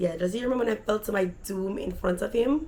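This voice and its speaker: A woman speaks in a Jamaican accent at a moderate pace. Her tone is animated. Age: adult. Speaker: vlogger. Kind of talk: storytelling.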